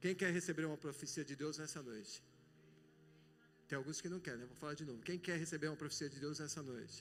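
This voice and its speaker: This man has a fairly high pitch and speaks at a fairly quick pace with ordinary pitch variation. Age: 60s. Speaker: pastor. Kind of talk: sermon. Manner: animated.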